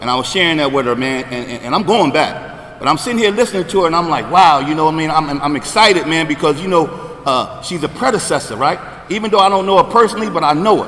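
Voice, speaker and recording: Over noticeable background noise, an animated man with an American accent races at a very fast pace, his fairly high pitch full of lively intonation. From New Jersey, greater Camden area. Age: 60s. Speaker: recovery speaker. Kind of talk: recovery testimony at convention.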